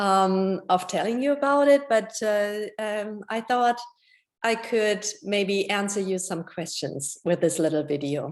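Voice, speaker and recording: In a European accent, a woman speaks at a medium pitch and a fairly slow pace with lively intonation. She takes long, frequent pauses. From Germany. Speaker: homeowner. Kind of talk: testimony. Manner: halting, many fillers.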